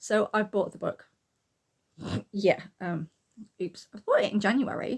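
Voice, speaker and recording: A woman speaks in a British accent, her voice somewhat breathy and her intonation fairly even. She goes at a very slow pace with long, frequent pauses. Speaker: booktuber and artist. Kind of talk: casual talk to camera.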